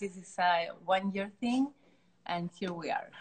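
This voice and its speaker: Somewhat breathy speech comes through with a Chilean accent. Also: woman. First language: Spanish. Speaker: artist. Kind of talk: interview. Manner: halting.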